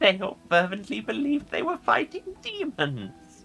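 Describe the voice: With faint music in the background, a woman does a put-on character voice at a fairly slow pace, her fairly bright tone marked by vocal fry and very wide pitch swings. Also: medium pitch for a woman.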